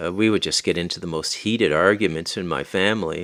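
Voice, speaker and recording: A man's very deep, low voice at a very fast pace, with fairly even intonation, in a very clean recording with a silent background. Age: 50s. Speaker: podcaster. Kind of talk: solo podcast monologue. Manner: halting, with many fillers.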